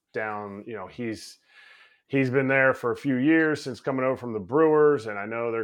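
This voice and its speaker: A normal speaking voice from a man, medium in pitch with ordinary pitch variation. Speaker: baseball coach and former player co-host. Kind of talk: casual sports chat.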